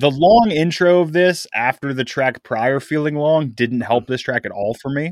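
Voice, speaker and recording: A man with a normal speaking voice and a fairly high pitch talks at a moderate pace with ordinary pitch variation and hardly any pauses, in a very clean, dry, close recording with no echo and a silent background. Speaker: podcast co-host and editor. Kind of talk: casual chat.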